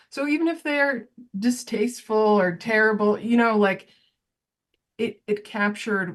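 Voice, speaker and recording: A woman with a somewhat breathy voice talks at a moderate pace with lively intonation. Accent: American. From Nebraska. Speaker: artist and founder of an art project. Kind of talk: casual conversation.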